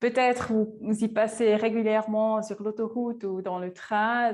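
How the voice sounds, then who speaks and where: At a very slow pace, a woman with a Swiss German accent speaks in a flat monotone at a fairly high pitch. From Switzerland, Lucerne. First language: Swiss German (speaking French). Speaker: forest researcher. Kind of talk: lecture. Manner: halting, many hesitations.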